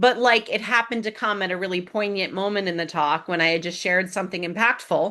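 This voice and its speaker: A woman with an American accent speaks at a fairly quick pace with lively intonation. Her tone is bright and sharp against a quiet background. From Springfield, Massachusetts (US Northeast). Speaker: public speaking coach. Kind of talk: online class. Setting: video call. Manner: fast.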